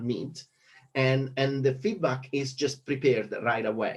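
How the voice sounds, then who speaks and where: A man with a medium pitch and a somewhat breathy voice speaks at a moderate pace. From Italy. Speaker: economics lecturer. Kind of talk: conference talk. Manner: hesitant with many fillers.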